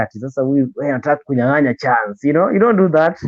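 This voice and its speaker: A man's fairly high voice with a Kenyan accent, very fast pace and ordinary pitch variation. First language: Luo. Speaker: radio presenter. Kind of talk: interview.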